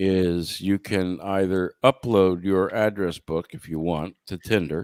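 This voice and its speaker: A man's very deep, low voice at a very slow pace, with ordinary pitch variation, in a very clean, dry, close recording with a silent background and no echo. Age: 50s. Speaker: podcast co-host. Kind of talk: casual chat.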